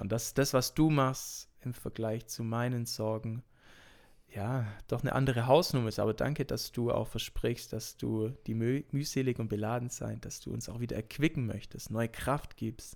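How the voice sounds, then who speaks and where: A man talks in a normal speaking voice at medium pitch and a moderate pace, with fairly even intonation. The recording is very clean, with a silent background. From Swabia, Germany (Urbach). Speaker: pastoral assistant and teacher. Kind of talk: casual interview chat.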